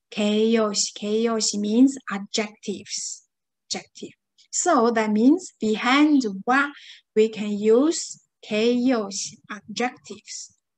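A very slow pace with ordinary pitch variation over a quiet background. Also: woman, fairly high pitch for a woman. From China. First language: Chinese. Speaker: Japanese language teacher. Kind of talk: lecture. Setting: online class. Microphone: webcam.

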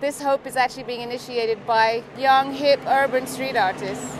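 A woman with a high pitch talks at a moderate pace with fairly even intonation. The sound is dry with no echo, and background noise is noticeable. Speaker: interviewee. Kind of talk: interview answer. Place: street.

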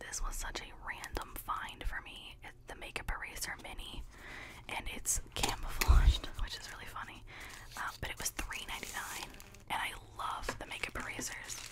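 A soft-spoken woman is whispering. Loud background noise runs behind her. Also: moderate pace. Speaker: haul vlogger. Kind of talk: casual haul chat, partly reading a label. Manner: close-mic soft whisper. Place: home room. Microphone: studio mic.

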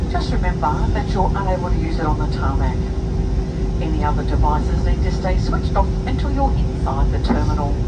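Loud background noise accompanies speech delivered at a moderate speed. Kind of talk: in-flight arrival announcement. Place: plane.

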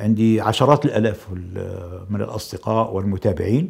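Against a quiet background, a man with a Libyan accent speaks at a moderate pace. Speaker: politician. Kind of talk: interview. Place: studio. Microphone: lapel.

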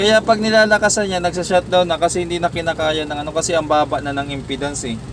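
The speech moves at a very fast pace with hardly any pauses. Noticeable background noise runs underneath. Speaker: electronics technician vlogger. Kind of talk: tutorial. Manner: halting, stutters at times.

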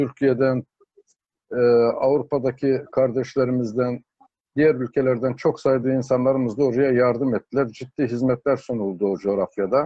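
Over a quiet background, a man speaks at a moderate pace with fairly even intonation and very even loudness, the sound dry with no echo. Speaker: interview guest. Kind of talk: interview answer. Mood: earnest, hopeful. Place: home room. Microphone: video call.

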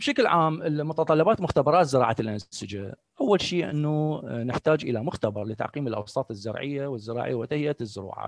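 At a moderate pace with hardly any pauses, a man with a fairly high pitch speaks in a dry sound with no echo. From Iraq. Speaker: professor. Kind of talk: lecture. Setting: video call. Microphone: video call.

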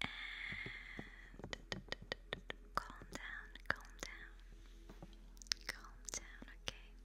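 A soft-spoken woman whispers at a very slow pace. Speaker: ASMR creator. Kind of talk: soft whispered ASMR talk. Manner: soft close-mic ASMR whisper. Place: home room. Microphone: studio mic.

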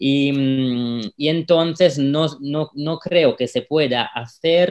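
Speaking at a very slow pace with an Italian accent, the voice shows ordinary pitch variation over a quiet background. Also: man. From Italy, Rome. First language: Italian (speaking Spanish). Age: 30s. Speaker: local politician. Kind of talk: interview. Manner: halting, many fillers. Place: home room. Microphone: video call.

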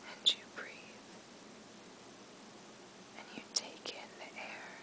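Someone soft-spoken whispers in a calm tone at a very slow pace over noticeable background noise. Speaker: sleep story narrator. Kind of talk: guided relaxation story, soft spoken. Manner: soft, calm relaxation whisper.

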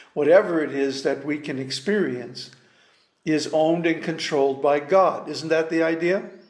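A man speaks at a moderate pace with fairly even intonation. His pitch sits fairly high, and the room echo is audible. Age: 70s. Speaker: spiritual teacher. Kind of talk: lecture. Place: home room. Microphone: webcam.

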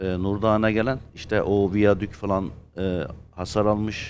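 Over light background noise, a man speaks at a fairly slow pace. His pitch is fairly low and his intonation monotone and flat. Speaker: actor. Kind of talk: casual chat. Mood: earnest, serious topic. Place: studio.

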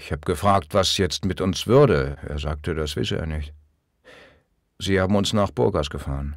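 A man speaks with a very deep, low pitch, vocal fry and ordinary pitch variation, leaving long, frequent pauses. The recording is very clean, with a silent background. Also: moderate pace. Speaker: audiobook narrator. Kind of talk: audiobook reading of memoir, first-person recollection. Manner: somber, reflective.

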